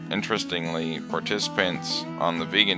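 A man with a very deep, low pitch talks at a moderate pace. Music plays in the background. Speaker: college student. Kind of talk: class presentation narration.

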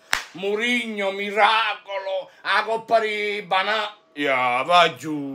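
A man's raised, projected voice, high in pitch, with ordinary pitch variation. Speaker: football YouTuber, Juventus fan; football YouTuber. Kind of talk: fan rant. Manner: animated, exasperated. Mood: mocking, sarcastic. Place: home room.

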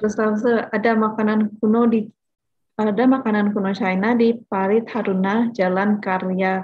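In a quiet setting, a woman's somewhat breathy voice holds very even loudness, moving at a moderate pace with fairly even intonation. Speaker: webinar moderator. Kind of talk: moderating Q&A. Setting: video call. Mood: friendly, smiling. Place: home room. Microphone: video call.

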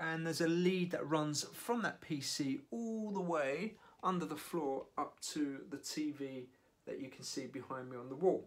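A man speaks with ordinary pitch variation, keeping a moderate pace. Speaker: amateur triathlete vlogger. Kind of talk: casual vlog chat. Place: home room. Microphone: phone near.

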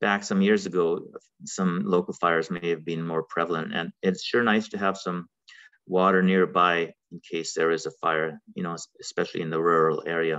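A man with a very deep, low pitch and a bright, sharp tone speaks monotone and flat at a moderate pace against a quiet background. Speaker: webinar presenter. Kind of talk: lecture. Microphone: webcam.

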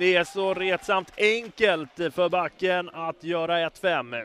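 A man's high-pitched voice, bright and sharp in tone, dry with no echo, over light background noise. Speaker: sports commentator. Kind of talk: live sports commentary (highlights reel voice-over). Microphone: headset.

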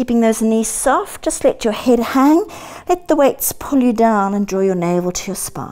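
Moderately paced speech in a dark, mellow tone moves through very wide pitch swings. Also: woman. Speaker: fitness instructor. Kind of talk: workout instruction. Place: home room.

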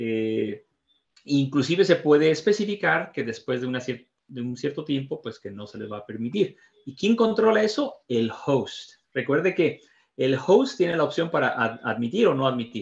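Against a quiet background, a somewhat breathy man with a fairly high pitch swings very widely in pitch. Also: moderate pace, big swings in loudness. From Mexico. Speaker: training facilitator, IT professional; training facilitator. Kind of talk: tutorial. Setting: video call. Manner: halting. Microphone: video call.

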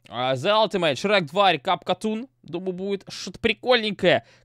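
Very fast speech from a man, set in a quiet background. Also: dry sound with no echo. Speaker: reaction youtuber. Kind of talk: casual reaction commentary. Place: home room. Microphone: studio mic.

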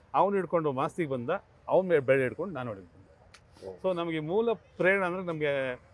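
In an ordinary speaking voice, a man with fairly high pitch talks with lively intonation and big swings in loudness. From Bangalore, Karnataka, India. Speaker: film actor and dialogue writer. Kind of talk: interview.

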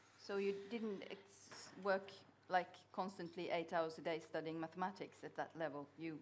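A woman with a Norwegian accent, fairly low-pitched, at a moderate pace with fairly even intonation, over light background noise. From Norway. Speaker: journalist interviewer. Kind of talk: interview question. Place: hall.

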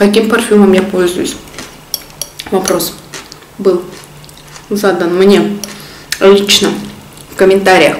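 Very slow woman's voice in a flat monotone, with long, frequent pauses, audible room echo, and light background noise. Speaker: mukbang vlogger. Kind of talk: casual vlog chat while eating. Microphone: phone near.

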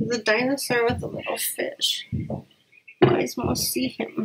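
A woman's fairly high, fairly bright voice, husky and rough-edged, with vocal fry, little pitch movement and a fairly slow pace

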